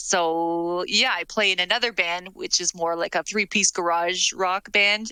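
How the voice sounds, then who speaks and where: A woman's bright, sharp voice at medium pitch, fairly slow and fairly even in intonation, with a dry, close sound and no echo. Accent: French. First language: French. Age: 40s. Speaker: musician and teacher. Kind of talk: podcast interview.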